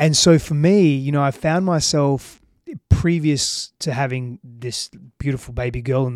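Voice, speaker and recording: On a very clean recording with a silent background, a man with an Australian accent speaks at a fairly slow pace, fairly high in pitch, with fairly even intonation. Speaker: relationships coach. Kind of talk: podcast interview. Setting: in person in Austin, Texas.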